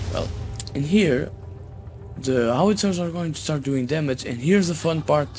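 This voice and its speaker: Music plays in the background, and audible room echo surrounds the voice. A man speaks with ordinary pitch variation. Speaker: gaming YouTuber. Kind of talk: gameplay commentary. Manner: halting. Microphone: cheap low-quality microphone.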